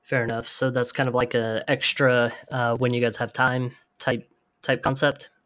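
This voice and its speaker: The recording is very clean, with a silent background. A man talks at a moderate pace in a medium pitch, his intonation monotone and flat. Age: 40s. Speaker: podcast co-host, agency owner. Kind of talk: podcast interview.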